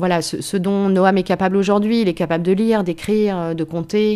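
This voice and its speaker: This woman's tone is dark and mellow. She talks at a fairly slow pace. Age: 50s. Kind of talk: testimony. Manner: halting.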